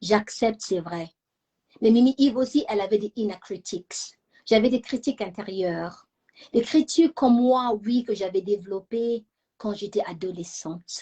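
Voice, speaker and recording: A woman speaks fairly slowly in a fairly high pitch with ordinary pitch variation. Her tone is dark and mellow, and somewhat breathy. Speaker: channel founder, self-esteem talk host. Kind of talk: personal talk to live audience.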